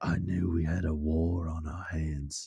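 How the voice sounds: A put-on character voice delivers its lines at a fairly slow pace with monotone, flat intonation. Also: man.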